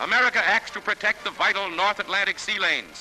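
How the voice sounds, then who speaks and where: Background music plays throughout. The talking goes at a fairly quick pace. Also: man. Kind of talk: newsreel narration.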